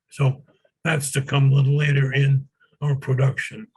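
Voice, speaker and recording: This man's voice comes across as somewhat breathy. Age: 80s+. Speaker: retired sociology professor. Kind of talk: interview. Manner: halting with many fillers.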